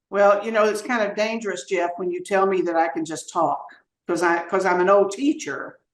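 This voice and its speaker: A woman with a Southern US accent talks at a moderate pace and medium pitch, with ordinary pitch variation. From US South. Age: 70s. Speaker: retired teacher and former mayor. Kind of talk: podcast interview. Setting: podcast.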